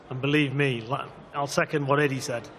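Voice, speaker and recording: Over audible room echo, a man talks at a fairly quick pace with a monotone, flat intonation. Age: 50s. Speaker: boxing trainer. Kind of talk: press conference answer. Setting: press conference with audience.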